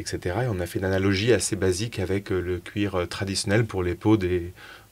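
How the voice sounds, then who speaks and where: Very fast, monotone, flat speech from a man with a very deep, low pitch, in a very clean recording with a silent background. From France, Strasbourg. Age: 30s. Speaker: startup co-founder, chemical engineer. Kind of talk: interview conversation. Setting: in person at guest's place. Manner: hesitant, many filler sounds.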